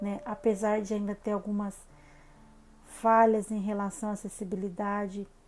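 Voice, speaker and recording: Music plays in the background as a woman at a medium pitch speaks at a fairly slow pace. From Brazil, São Paulo state interior (Salto). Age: 30s. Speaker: holistic psychotherapist, channel host. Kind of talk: personal life story vlog. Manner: casual, many fillers (né).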